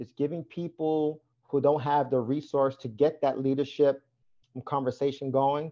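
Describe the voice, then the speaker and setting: In an ordinary speaking voice, a man talks at a fairly high pitch and a fairly slow pace. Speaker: energy coach and Navy engineer. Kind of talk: casual interview chat.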